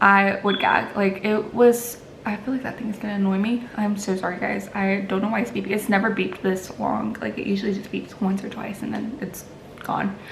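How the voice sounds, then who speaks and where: Music plays in the background as the speaker moves at a fairly quick pace with fairly even intonation, with audible room echo. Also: woman, medium pitch for a woman. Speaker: lifestyle vlogger. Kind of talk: casual chat. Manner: halting, filler-heavy.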